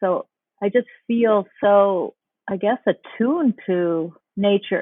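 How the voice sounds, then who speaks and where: With a normal speaking voice, a woman talks at a medium pitch and ordinary pitch variation. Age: 60s. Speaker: polar explorer. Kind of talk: casual conversation.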